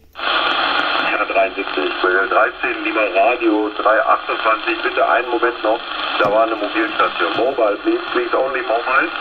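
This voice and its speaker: The speaker goes at a fairly slow pace. Background noise is noticeable. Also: man. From Mönchengladbach, Lower Rhine, Germany. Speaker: CB radio operator. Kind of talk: radio contact exchange. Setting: CB radio transmission.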